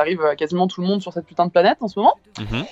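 The sound is close and dry, without any echo. This woman speaks very fast. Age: 20s. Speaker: creative student. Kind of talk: casual chat. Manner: halting.

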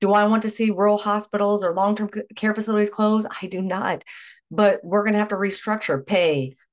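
Over a quiet background, a woman with a medium pitch uses an unremarkable speaking voice at a moderate pace. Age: 50s. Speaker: nurse. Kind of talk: interview.

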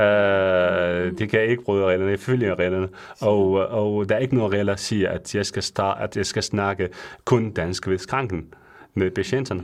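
A man with a non-native accent, fairly low in pitch, at a moderate pace with fairly even intonation and a quiet background. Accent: non-native Danish. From Syria. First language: Arabic (speaking Danish). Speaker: pharmacist. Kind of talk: radio interview. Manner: halting, many fillers.

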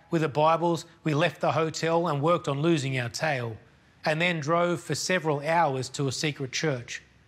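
A man with an Australian accent and a fairly high pitch speaks at a moderate pace with fairly even intonation. The recording is very clean, with a silent background. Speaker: missions charity speaker. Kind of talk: sermon. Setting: pre-recorded video.

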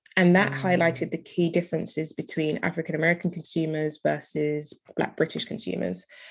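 A woman with a very deep, low pitch and vocal fry, in a London accent, at a very fast pace with hardly any pauses and fairly even intonation. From London, England. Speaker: entrepreneur. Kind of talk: interview.

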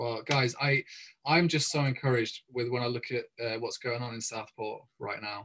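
Here is a man with an English accent and a medium pitch. His intonation stays fairly even. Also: moderate pace. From England. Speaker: pastor. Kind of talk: interview.

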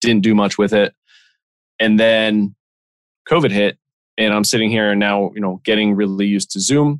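A man's fairly low voice at a moderate pace, dry and close with no echo, over a quiet background. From Pennsylvania, Lehigh Valley. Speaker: insurance specialist and podcaster. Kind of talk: interview.

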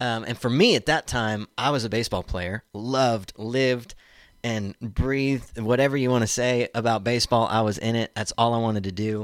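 A man with an American accent uses a plain, everyday voice at a medium pitch, with fairly even intonation and a moderate pace, in a very clean recording with a silent background and a dry, close sound with no echo. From Oklahoma (Tulsa). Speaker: student pastor. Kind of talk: casual interview.

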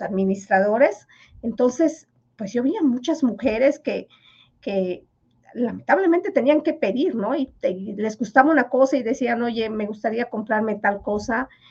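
A woman's high-pitched voice, ordinary in pitch variation, at a fairly slow pace. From Yucatán, Mexico (Maya village). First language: Yucatec Maya (speaking Spanish). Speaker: finance professor. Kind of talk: interview.

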